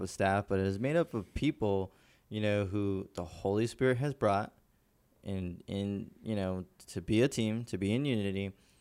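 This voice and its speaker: A man with a fairly low pitch and a plain, everyday voice talks at a fairly slow pace on a very clean recording with a silent background. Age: 20s. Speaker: church media team podcast host. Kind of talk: casual chat about faith.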